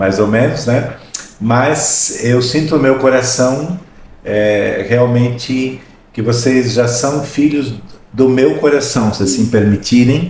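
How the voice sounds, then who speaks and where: A man at a medium pitch and a very slow pace, amid noticeable background noise and audible room echo. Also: ordinary pitch variation. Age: 60s. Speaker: podcast host. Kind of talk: podcast interview.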